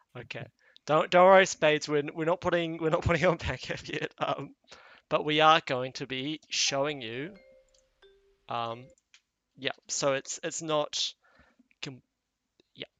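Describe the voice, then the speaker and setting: With music in the background, someone with a New Zealand accent talks at a fairly slow pace, leaving long, frequent pauses. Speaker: animation series creator. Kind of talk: casual livestream chat.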